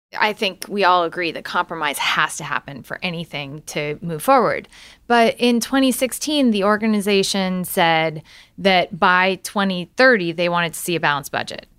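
An unremarkable speaking voice with an American accent moves at a moderate pace, its intonation lively. The recording is very clean, with a silent background. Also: woman, medium pitch for a woman. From Illinois, US Midwest. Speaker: podcast host, former campaign staffer. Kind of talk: political interview podcast.

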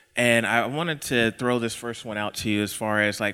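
Speaking with an American accent at a fairly quick pace, a man has a medium pitch and a bright, sharp tone. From Texas. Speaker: equity consultant and podcaster. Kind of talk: live panel talk. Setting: stage with audience.

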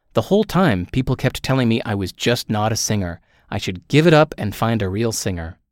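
Speaking fairly quickly with lively intonation, a man with a plain, everyday voice and medium pitch comes through on a very clean recording with a silent background and a dry, close sound with no echo. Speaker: author reading own book. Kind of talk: reading aloud.

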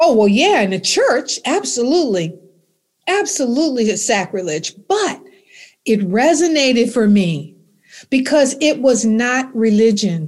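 With an American accent, a woman speaks at a high pitch and a fairly slow pace, her pitch swinging very widely. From US South, Alexandria, Virginia. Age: 70s. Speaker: minister and author. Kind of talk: interview, spiritual teaching.

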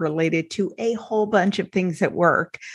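At a moderate pace and a fairly low pitch, a woman speaks in an unremarkable speaking voice against a quiet background. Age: 40s. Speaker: podcast host and sobriety life coach. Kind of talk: casual interview.

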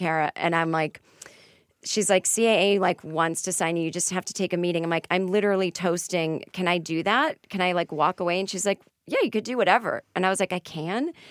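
Speaking at a fairly quick pace in a Boston accent, a woman uses a fairly low pitch and fairly even intonation, the sound dry and close with no echo. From Boston area, Massachusetts. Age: 40s. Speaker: comedian and author. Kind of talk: casual chat.

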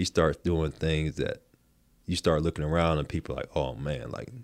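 A man's very deep, low voice with vocal fry and a North Carolina accent, at a moderate pace, on a very clean recording with a silent background. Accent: US Southern (North Carolina). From southeastern North Carolina, rural coast. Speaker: former pro basketball player. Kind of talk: interview.

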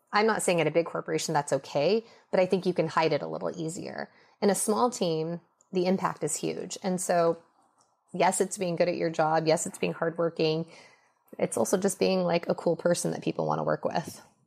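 In a very clean recording with a silent background, a woman with an American accent talks fairly quickly at a fairly low pitch, with vocal fry. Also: ordinary pitch variation. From US West Coast, Los Angeles. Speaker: beauty brand founder. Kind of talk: interview.

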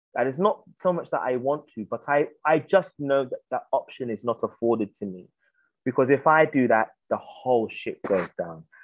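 A man with a London accent speaks at a moderate pace in a fairly high pitch, his intonation lively, and the sound is dry and close with no echo. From South London, England. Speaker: playwright and theatre director. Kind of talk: interview.

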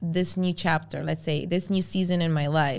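On a very clean recording with a silent background, a woman with a Spanish accent speaks at a fairly low pitch with ordinary pitch variation. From Venezuela, then Brooklyn from age eight. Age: 30s. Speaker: fashion influencer and stylist. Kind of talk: casual interview chat. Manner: animated.

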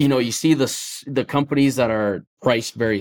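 Speaking fairly quickly with an Upper Midwest accent, a man shows ordinary pitch variation in a dry, close sound with no echo, on a very clean recording with a silent background. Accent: Upper Midwest American. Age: 20s. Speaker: excavation business owner. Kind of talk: casual chat.

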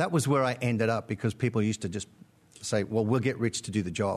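Speaking very fast, a man uses a medium pitch with ordinary pitch variation. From born in Britain, lived in Australia about 30 years. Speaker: podcast guest, musician and theatre director.

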